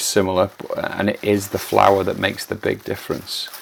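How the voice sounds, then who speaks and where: Noticeable background noise sits behind a man talking at a fairly quick pace. His pitch is fairly low. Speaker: plant collector and channel host. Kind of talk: unboxing tutorial. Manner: hesitant, many fillers.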